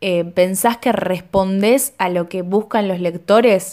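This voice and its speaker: A woman with a Rioplatense accent, on a very clean recording against a silent background. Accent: Argentine Spanish (rioplatense). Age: 20s. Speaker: podcast host. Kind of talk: scripted narration with interview.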